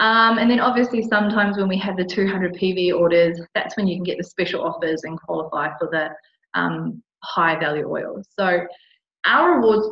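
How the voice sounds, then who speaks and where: Speech comes at a moderate pace with an Australian accent. The pitch rises and falls in an ordinary way. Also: woman. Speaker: essential oil distributor. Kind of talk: tutorial.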